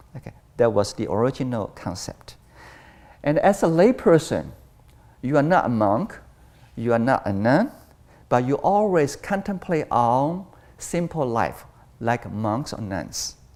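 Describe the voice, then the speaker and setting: In a Chinese accent, the speaker talks at a fairly slow pace with long, frequent pauses. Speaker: Buddhist monastic teacher. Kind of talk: dharma talk. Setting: temple. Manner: halting, with frequent fillers.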